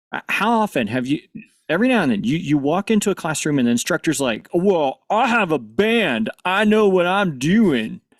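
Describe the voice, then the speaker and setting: Speaking at a moderate pace with a Missouri accent, a man uses a high pitch and very wide pitch swings, and the sound is dry and close with no echo. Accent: rural Missouri twang. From US Midwest, northern Missouri. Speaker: panelist, AV technology professional. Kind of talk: conference panel discussion.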